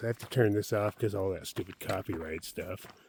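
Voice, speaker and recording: This man's voice sits fairly low and sounds somewhat breathy. He talks at a fairly quick pace. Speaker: hiking vlogger. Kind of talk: casual vlog monologue.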